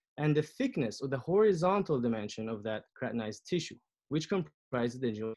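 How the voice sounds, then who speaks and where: Intonation here is lively, and the pace is fairly quick. The background is quiet. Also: man. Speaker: periodontist and researcher. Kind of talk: lecture. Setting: video call. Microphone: video call.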